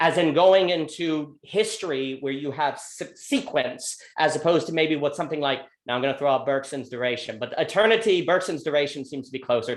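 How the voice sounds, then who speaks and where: A man speaks at a fairly quick pace in an ordinary speaking voice, pitched fairly high with ordinary pitch variation. The recording is very clean, with a silent background. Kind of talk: philosophical monologue in a group discussion.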